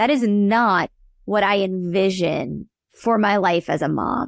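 A woman speaks in a plain, everyday voice with an American accent, medium pitch and lively intonation. The sound is dry and close, without echo. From US South, New Orleans, Louisiana. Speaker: accountant and tax coach. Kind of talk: casual interview chat.

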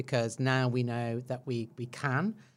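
On a very clean recording with a silent background, a woman with a very deep, low voice speaks at a fairly slow pace. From England. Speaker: tech industry executive. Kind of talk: interview.

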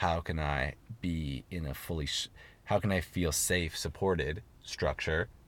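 Over a very clean recording with a silent background, a man speaks with a West Coast accent and vocal fry. His pitch is very deep and low, and his pace is fairly slow. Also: fairly even intonation. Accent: American West Coast. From US, Seattle. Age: 30s. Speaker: traveling yoga teacher. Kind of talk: casual interview. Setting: in a parked car.

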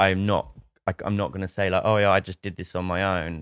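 A man's very deep, low voice with an English accent, very fast, dry and close with no echo, on a very clean recording with a silent background. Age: 30s. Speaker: startup founder. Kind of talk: casual interview.

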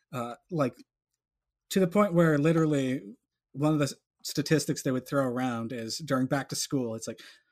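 Heard in a dry, close sound with no echo, a man with a normal speaking voice and an American accent talks fairly high in pitch with lively intonation. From Colorado (Boulder). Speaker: artist. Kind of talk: casual chat. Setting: video call.

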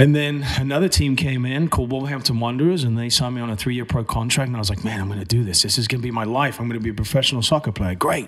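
Very fast speech with hardly any pauses, ordinary pitch variation, and noticeable background noise. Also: man, medium pitch for a man. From England, Cambridge. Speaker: trade show and magazine managing director. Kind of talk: casual interview chat.

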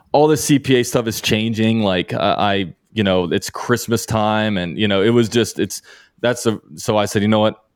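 A man speaks at a moderate pace in a fairly low pitch, with ordinary pitch variation and a plain, everyday voice. The recording is very clean, with a silent background. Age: 30s. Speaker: CPA exam candidate, accountant and YouTuber. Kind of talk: interview.

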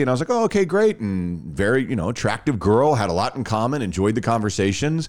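In a very clean recording with a silent background, a man with an American accent and an unremarkable speaking voice talks at a fairly quick pace and medium pitch. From Texas, Dallas-Fort Worth. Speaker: radio host. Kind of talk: casual chat.

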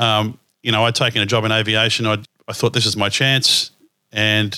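In an Australian accent, a man speaks at a fairly low pitch with a bright, sharp tone. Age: 50s. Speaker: podcast host. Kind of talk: casual chat.

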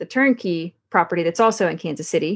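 Set against a quiet background, a woman with an American accent uses an ordinary speaking voice at medium pitch, talking at a fairly quick pace with ordinary pitch variation. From US South, Texarkana, Arkansas. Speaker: Air Force member and real estate investor. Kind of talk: podcast interview.

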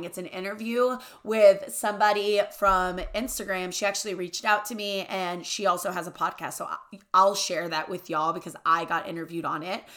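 A woman with a Southern US accent talks at a fairly quick pace in an animated tone, her pitch medium and her tone bright and sharp. Her loudness swings widely while her pitch variation stays ordinary. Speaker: podcast host. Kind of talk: casual chat.

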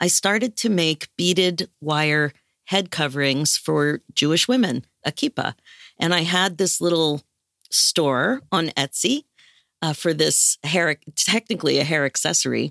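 Her voice is a normal speaking voice, fairly low in pitch with ordinary variation, and she, a woman, talks at a fairly slow pace with very even loudness. The sound is dry and close with no echo, on a very clean recording with a silent background. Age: 60s. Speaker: life coach. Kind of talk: interview.

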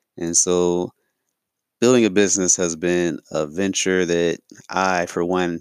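In a very clean recording with a silent background, a man talks in a flat monotone at a very deep, low pitch, the sound dry and close with no echo. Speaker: podcast host, fitness business owner. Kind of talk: solo monologue. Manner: fast.

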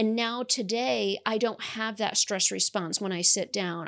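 A woman talks in an American accent with lively intonation and medium pitch. She has a plain, everyday voice, and the sound is dry and close with no echo. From New York. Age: 30s. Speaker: author. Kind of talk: interview testimony.

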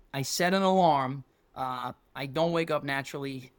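Recorded very cleanly against a silent background, a man with an American accent talks at a fairly high pitch with ordinary pitch variation. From New York City, Staten Island. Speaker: football coach. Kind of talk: casual chat.

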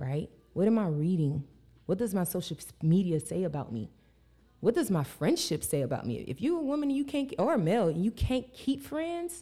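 A woman at medium pitch speaks at a moderate pace, her dark, mellow tone somewhat breathy and her pitch swinging very widely. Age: 30s. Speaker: life coach and rapper. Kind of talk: casual chat.

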